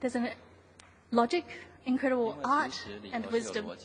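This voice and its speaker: Noticeable background noise accompanies a woman with a high pitch, talking at a fairly quick pace with fairly even intonation. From New Zealand. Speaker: conference presenter. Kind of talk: scripted presentation. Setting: conference hall, seated with audience.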